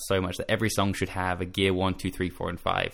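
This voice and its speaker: A man's fairly low-pitched voice in an Australian accent, with a bright, sharp tone. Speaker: music journalist and copywriter. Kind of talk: casual interview chat. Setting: video call from bedroom in quarantine.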